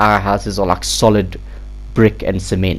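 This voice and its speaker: A man talks at a moderate pace. Behind his voice there is noticeable background noise. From South Africa. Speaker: gaming YouTuber. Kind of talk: game build commentary. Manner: hesitant, many fillers; casual.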